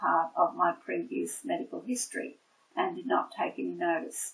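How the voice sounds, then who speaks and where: A woman talks with an Australian accent. She keeps a moderate pace. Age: 60s. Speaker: nurse. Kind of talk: testimony. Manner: hesitant, many fillers.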